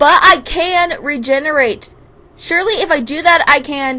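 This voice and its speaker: A woman puts on a character voice with a high pitch, speaking at a moderate pace. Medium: read story. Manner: casual, says dude.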